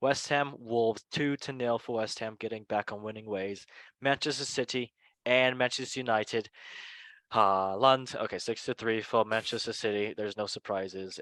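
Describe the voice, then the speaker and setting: In a dry, close sound with no echo, a man with a non-native accent speaks at a medium pitch and a moderate pace, his intonation fairly even, on a very clean recording with a silent background. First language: not English. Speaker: football podcast host. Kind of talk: casual chat.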